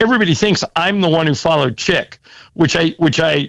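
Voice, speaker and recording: A man speaks with vocal fry. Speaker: radio play-by-play announcer for a basketball team. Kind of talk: casual interview talk. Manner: conversational, warm, fluent.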